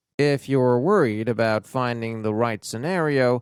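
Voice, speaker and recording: This very clean recording of a man has a silent background and a dry, close sound with no echo. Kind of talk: audiobook reading of an English-language book, read aloud for language learners. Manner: soft-spoken, ASMR-style reading.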